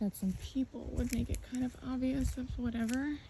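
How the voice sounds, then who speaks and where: A quiet woman at a moderate pace, with noticeable background noise. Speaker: true crime youtuber. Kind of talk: on-location vlog. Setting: outdoors on a trail.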